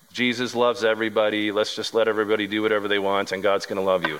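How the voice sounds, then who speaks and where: An ordinary speaking voice from a man, fairly low in pitch, with fairly even intonation. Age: 40s. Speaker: pastor. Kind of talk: sermon. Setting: church.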